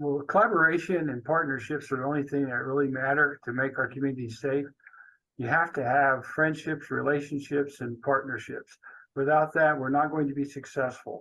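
Here is a man with an unremarkable speaking voice and a fairly high pitch. He talks at a fairly quick pace with fairly even intonation. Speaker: police chief. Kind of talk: interview.

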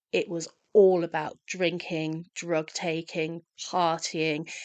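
A woman speaks with a London accent and a fairly low pitch. The background is quiet. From London, England. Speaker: hospitality professional and recovery advocate. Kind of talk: interview conversation.

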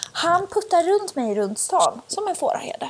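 At a moderate pace, a woman talks with very wide pitch swings against noticeable background noise. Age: 20s. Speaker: podcast host. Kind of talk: casual chat. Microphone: cheap earphone mic.

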